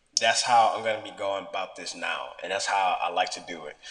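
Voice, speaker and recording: A man talks while noticeable background noise can be heard behind him. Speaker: fitness vlogger. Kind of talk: casual vlog monologue. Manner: fast.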